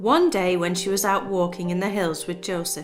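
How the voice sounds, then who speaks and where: With music in the background, a woman speaks at a moderate pace in a calm tone. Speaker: storyteller. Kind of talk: reading aloud.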